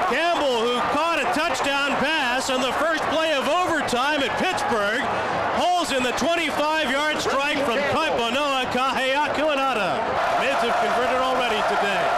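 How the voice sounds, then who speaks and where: A man speaks at a moderate pace with loud background noise behind him. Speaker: radio play-by-play announcer. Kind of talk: live radio sports play-by-play commentary. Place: booth.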